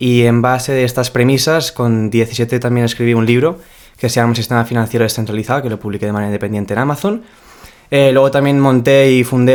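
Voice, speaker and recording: Words tumble out very fast from a man whose medium pitch carries fairly even intonation. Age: young. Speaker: startup founder. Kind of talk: casual interview.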